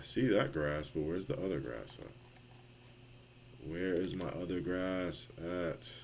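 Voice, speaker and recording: In a room with audible echo, a man with a very deep, low pitch and lively intonation talks at a very slow pace with hardly any pauses. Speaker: game developer streamer. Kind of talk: live coding stream.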